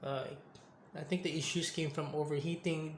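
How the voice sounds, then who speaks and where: The man's pitch is fairly high, and he talks at a moderate pace. Audible room echo hangs around his voice. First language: not English. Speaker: tech reviewer, gamer. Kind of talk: casual product review vlog. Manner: halting, self-correcting.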